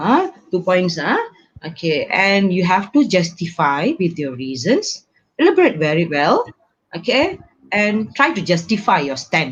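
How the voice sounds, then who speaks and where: A somewhat breathy woman speaks at a fairly slow pace, her medium pitch swinging very widely. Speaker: English teacher. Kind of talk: online lecture. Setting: live stream.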